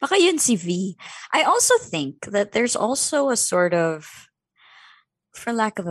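Lively intonation marks the fairly slow speech, recorded dry and close with no echo against a quiet background. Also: woman. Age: 30s. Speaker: podcaster and substitute co-host. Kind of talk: casual chat.

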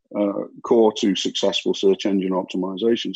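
The speaker is a man with a British accent. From UK. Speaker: marketing agency founder. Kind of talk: interview.

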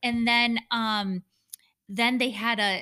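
In a very clean recording with a silent background, a woman with an American accent and an unremarkable speaking voice talks at a fairly slow pace with fairly even intonation. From Michigan. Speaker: podcast co-host. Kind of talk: casual chat.

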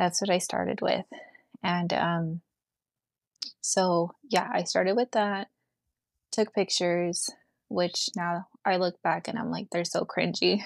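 In a very clean recording with a silent background and a dry, close sound with no echo, a woman speaks fairly slowly at a fairly low pitch, with fairly even intonation and long, frequent pauses. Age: 30s. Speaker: small business owner. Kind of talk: casual chat.

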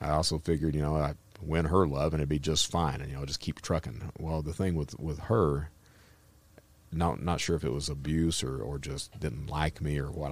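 A man with a Kentucky accent, very deep and low-pitched, with vocal fry and a fairly quick pace. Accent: Southern US (Kentucky). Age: 50s. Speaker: former cyber criminal turned speaker. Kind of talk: casual interview.

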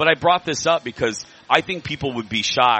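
Music plays in the background as a man talks at a moderate pace with an American accent. His intonation is lively. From Indiana, small town. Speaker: radio host and biscuit company owner. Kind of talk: casual chat. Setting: live broadcast at a state fair. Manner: energetic.

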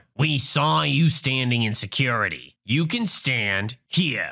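A man's put-on character voice at medium pitch, bright and sharp with vocal fry, big pitch swings and a slow pace, on a very clean recording with a silent background

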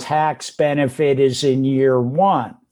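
A man's voice with a dark, mellow tone. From US West Coast (San Francisco Bay Area). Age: 60s. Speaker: real estate investor. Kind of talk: interview.

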